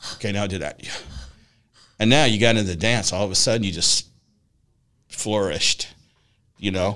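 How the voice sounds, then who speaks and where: Long, frequent pauses break up a man's fairly quick speech. His tone is bright and sharp. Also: fairly low pitch for a man, ordinary pitch variation. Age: 60s. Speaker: podcast host and personal development coach. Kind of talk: casual interview chat.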